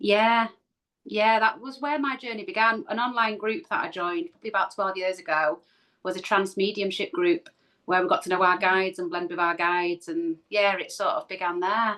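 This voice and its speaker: This woman's voice has a bright, sharp tone at a medium pitch. She talks at a moderate pace with lively intonation. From Manchester, northern England. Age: 40s. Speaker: spiritual medium and healer. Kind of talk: casual interview.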